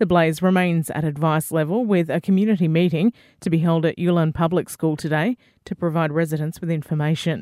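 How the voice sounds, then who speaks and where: A dark, mellow tone at a fairly quick pace with fairly even intonation, in a very clean recording with a silent background and a dry, close sound with no echo. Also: woman, fairly low pitch for a woman. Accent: Australian. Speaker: radio news reader. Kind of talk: formal radio newsreading, brisk bulletin of local headlines. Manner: formal, crisp, even-paced and neutral.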